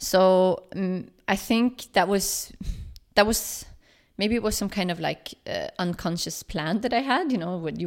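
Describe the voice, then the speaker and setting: A woman with a Swedish accent at a fairly slow pace, ordinary pitch variation, on a very clean recording with a silent background. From Sweden, Stockholm. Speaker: project founder and journalist. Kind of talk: interview. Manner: halting, many fillers.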